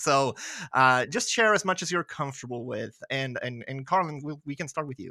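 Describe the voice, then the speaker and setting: Lively intonation and big swings in loudness mark this bright, sharp voice with a slight Swedish accent, moving at a moderate pace in a very clean recording with a silent background. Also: man, fairly high pitch for a man. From Sweden. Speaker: podcast host. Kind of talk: casual chat.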